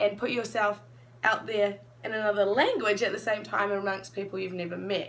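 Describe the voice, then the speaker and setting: A woman at medium pitch with a New Zealand accent. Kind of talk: casual chat.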